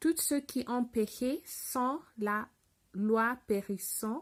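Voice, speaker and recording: A woman with a non-native accent speaks at a very slow pace with ordinary pitch variation. The recording is very clean, with a silent background. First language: not French (speaking French). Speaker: French learner reading the Bible. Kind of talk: reading aloud. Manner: halting.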